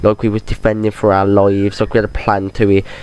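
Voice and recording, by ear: Slightly mellow in tone, a man speaks with a fairly low pitch.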